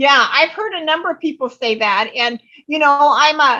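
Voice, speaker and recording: The tone is bright and sharp, in a raised, projected voice. Pitch varies in an ordinary way at a moderate pace. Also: woman. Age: 70s. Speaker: retirement coach. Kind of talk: interview. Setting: podcast.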